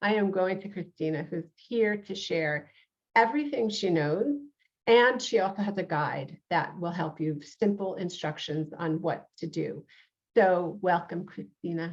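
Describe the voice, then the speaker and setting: In a New York accent, a woman talks at a fairly slow pace with a fairly low pitch and ordinary pitch variation. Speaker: podcast host and reverend. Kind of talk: interview talk show. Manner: many fillers, hesitant.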